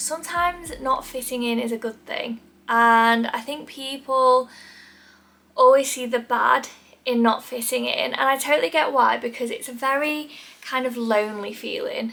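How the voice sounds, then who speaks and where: A woman's raised, projected voice, high in pitch with a bright, sharp tone, at a moderate pace with ordinary pitch variation. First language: not English. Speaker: lifestyle YouTuber. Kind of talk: casual chat to camera. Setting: sitting in front of camera at home.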